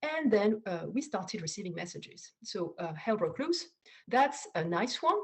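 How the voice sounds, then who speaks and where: Her fairly high voice swinging very widely in pitch, a woman with a French accent talks at a moderate pace. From France. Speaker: data scientist. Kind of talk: conference talk. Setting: online video talk. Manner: halting, many fillers and repeats.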